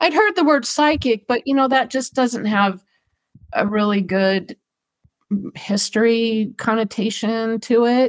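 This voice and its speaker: A woman with an American accent uses an ordinary speaking voice at a fairly high pitch, talking at a fairly slow pace with very even loudness and ordinary pitch variation, the sound dry and close with no echo. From Southern California. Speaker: animal communicator and pet loss author. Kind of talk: interview.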